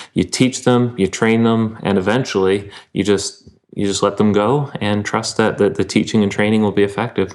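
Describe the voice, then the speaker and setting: At a moderate pace, a man with an unremarkable speaking voice and a fairly low pitch keeps fairly even intonation and very even loudness. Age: 30s. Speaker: pastor and writer. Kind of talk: casual interview.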